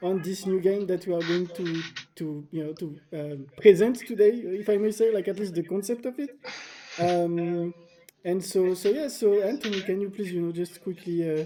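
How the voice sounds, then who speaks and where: Speech in a French accent over noticeable background noise. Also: moderate pace. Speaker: indie game developer and livestream host. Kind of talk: casual livestream chat. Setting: livestream. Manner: halting, many fillers.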